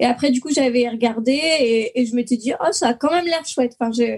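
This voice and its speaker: A woman's high voice moves at a fairly quick pace, its pitch varying in an ordinary way. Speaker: podcast co-host. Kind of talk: casual chat. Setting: video call.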